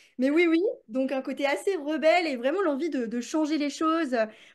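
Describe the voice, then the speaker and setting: A woman at a moderate pace with lively intonation over a quiet background. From France, Paris. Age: 30s. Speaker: business coach and author. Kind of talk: podcast interview. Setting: recorded in London. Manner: casual, many fillers.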